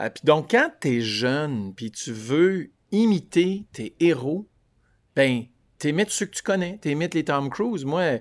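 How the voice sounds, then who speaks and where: A man with an Ontario French accent talks very slowly in a fairly high voice, his pitch swinging very widely. The recording is very clean, with a silent background. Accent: Franco-Ontarian French. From Vanier, Ottawa, Ontario. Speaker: singer. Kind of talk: casual interview. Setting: at home by a window.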